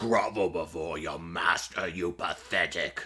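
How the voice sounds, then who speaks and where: A man puts on a character voice with a very deep, low pitch. He speaks at a fairly slow pace over light background noise. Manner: evil, domineering.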